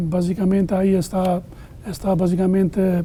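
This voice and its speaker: A man with an Albanian accent speaks fairly slowly in a high voice. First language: Albanian (speaking Spanish). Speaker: immigration lawyer. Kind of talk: interview. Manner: halting.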